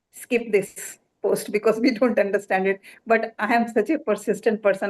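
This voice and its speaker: A woman's medium-pitched voice with fairly even intonation. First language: Hindi. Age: 70s. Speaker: doctor. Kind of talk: award acceptance speech.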